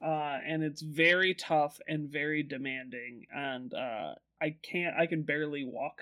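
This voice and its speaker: This man has an ordinary speaking voice with an American accent. His pitch is fairly high and his intonation fairly even. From Omaha, Nebraska, US Midwest. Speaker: podcast co-host, writer. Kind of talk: casual chat.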